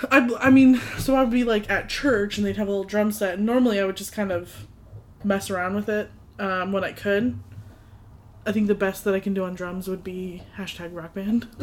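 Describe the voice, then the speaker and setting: A woman with an American accent has an unremarkable speaking voice, medium in pitch with ordinary pitch variation, at a fairly quick pace. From US, New England. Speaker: podcast co-host. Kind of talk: casual chat.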